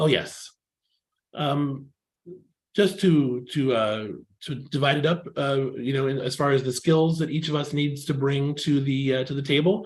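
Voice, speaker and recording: Here a man talks with a Californian accent. His voice is somewhat breathy and fairly high in pitch. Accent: California. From California, US. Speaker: technical writer, workshop mentor. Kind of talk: online presentation. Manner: hesitant, many fillers.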